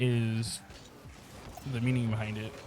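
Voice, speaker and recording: Monotone, flat delivery from a man at medium pitch with an American accent, moderate pace, and noticeable background noise. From United States. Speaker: aspiring streamer and youtuber. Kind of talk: casual monologue over gameplay. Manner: rambling, hesitant with fillers.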